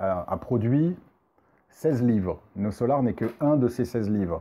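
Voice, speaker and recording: The man's voice rises and falls with ordinary pitch variation. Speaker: spiritual medium and film commentator. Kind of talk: casual video review monologue. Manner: hesitant, many fillers.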